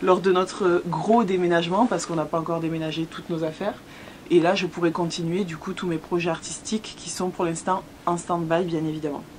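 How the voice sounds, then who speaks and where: A woman with a southern French accent speaks at a fairly quick pace in a fairly low pitch, her intonation monotone and flat, with noticeable background noise. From southern France, Hérault. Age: 20s. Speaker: YouTuber, expat vlogger. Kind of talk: casual Q&A chat. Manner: hesitant, many fillers.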